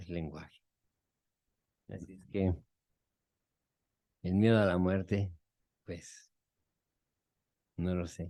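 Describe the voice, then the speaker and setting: A man's very deep, low voice, dark and mellow, very slow with long, frequent pauses, monotone and flat, with big swings in loudness. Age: 60s. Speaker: psychotherapist. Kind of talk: group therapy talk.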